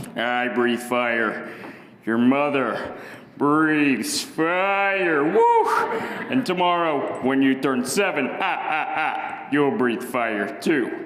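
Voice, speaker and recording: In a put-on character voice with a fairly high pitch, a man speaks at a very slow pace amid clear echo. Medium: solo performance. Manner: blustery, emphatic.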